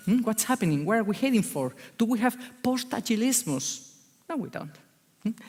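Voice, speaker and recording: With a Spanish accent, a woman talks at a fairly quick pace in a fairly high, animated voice with vocal fry and very wide pitch swings, broken by long, frequent pauses. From Spain, Basque Country. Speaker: agile consultant. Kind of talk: conference talk. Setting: stage with audience.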